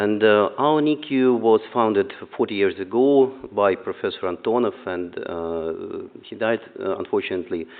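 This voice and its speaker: The speaker has a Russian accent. The pace is moderate, with ordinary pitch variation. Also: man, medium pitch for a man. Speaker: neonatologist. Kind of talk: conference talk. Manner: halting, many fillers.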